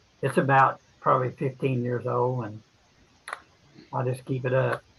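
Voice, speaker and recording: Medium-pitched male speech at a moderate pace, with noticeable background noise. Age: 80s+. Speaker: ham radio operator. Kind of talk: casual chat.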